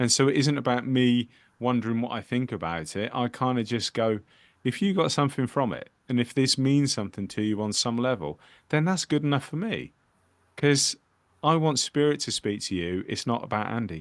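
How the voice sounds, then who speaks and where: Lively intonation at a moderate pace over a quiet background. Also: man, medium pitch for a man. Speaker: spiritual medium. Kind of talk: casual chat. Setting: video call.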